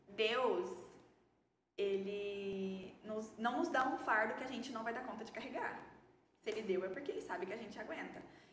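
A woman at a fairly slow pace, ordinary pitch variation, audible room echo. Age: 20s. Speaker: beauty entrepreneur. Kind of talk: interview, personal testimony.

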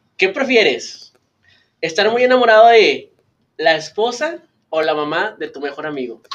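A man's high voice with very wide pitch swings, big swings in loudness, a fairly slow pace and long, frequent pauses. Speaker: podcast host. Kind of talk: casual chat.

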